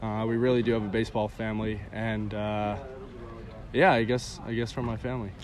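Audible room echo surrounds a man speaking at a medium pitch. He talks at a fairly quick pace with fairly even intonation. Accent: American. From Connecticut, US Northeast. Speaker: college baseball player. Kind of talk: interview.

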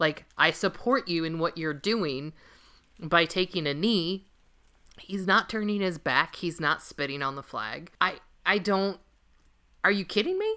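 A woman speaks with an American accent and a bright, sharp tone, her fairly low pitch showing ordinary variation. Long, frequent pauses mark her speech in a very clean recording with a silent background. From Los Angeles, US West Coast. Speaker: sports podcast co-host. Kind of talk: casual chat.

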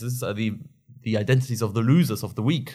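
A man speaks with a German accent at medium pitch. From Germany, Bochum (Westphalia). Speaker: PhD researcher in politics. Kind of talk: interview. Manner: halting, frequent fillers.

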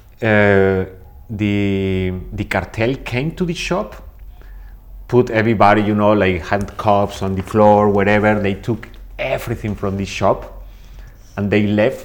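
Against noticeable background noise, a man with a fairly low pitch and fairly even intonation talks at a fairly slow pace with long, frequent pauses. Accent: Spanish. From Mexico. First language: Spanish. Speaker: body piercer and suspension artist. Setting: recorded at a conference.

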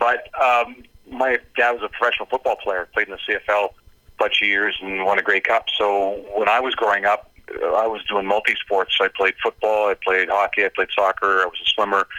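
A man with a western Canadian accent speaks at a moderate pace. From Canada, North Vancouver. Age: 50s. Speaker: former pro hockey player, commentator. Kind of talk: interview.

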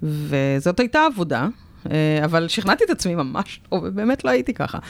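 An unremarkable speaking voice from a woman, fairly low in pitch, with lively intonation at a moderate pace. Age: 30s. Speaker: podcast host, breast cancer survivor. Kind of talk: casual chat. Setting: radio studio.

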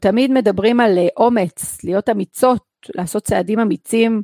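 A woman speaks with lively intonation at a moderate pace. The sound is dry and close, with no echo. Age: 40s. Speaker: podcast host and personal coach. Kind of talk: personal monologue podcast.

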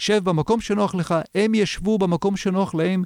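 A man's voice has a dark, mellow tone and ordinary pitch variation. He speaks at a moderate pace in a dry, close sound with no echo. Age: 50s. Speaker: video marketing consultant. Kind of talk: interview. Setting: studio.

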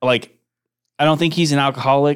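With an American accent, a man talks at a fairly quick pace and keeps his intonation fairly even. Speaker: podcast co-host and campaign manager. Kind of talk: casual chat. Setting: studio. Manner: laid-back, casual.

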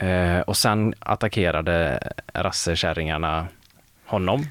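A man speaks in a very deep, low pitch. His pace is fairly slow. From Mark municipality, West Sweden. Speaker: student radio host. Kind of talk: casual chat.

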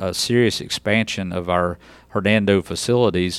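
A man with a Southern US accent, fairly even intonation, and a very clean recording over a silent background. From West Tennessee. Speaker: school district superintendent. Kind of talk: interview. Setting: studio.

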